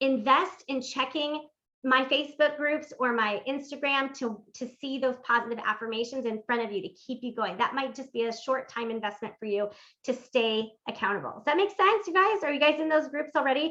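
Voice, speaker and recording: A woman's raised, projected voice, high in pitch, with a bright, sharp tone, lively intonation and a fairly quick pace. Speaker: workshop host and life coach. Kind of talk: live-streamed interactive workshop. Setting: live stream. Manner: fast; animated.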